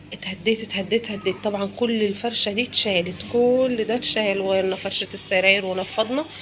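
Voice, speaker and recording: Moderate-paced speech from a woman with an Egyptian accent, fairly high pitch, ordinary pitch variation, and noticeable background noise. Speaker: home lifestyle vlogger. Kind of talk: home cleaning vlog. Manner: casual, chatty.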